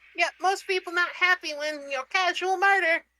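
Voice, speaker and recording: Using a put-on character voice, a woman speaks at a moderate pace in a squeaky, extremely high pitch with fairly even intonation. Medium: actual play. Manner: simple, broken English.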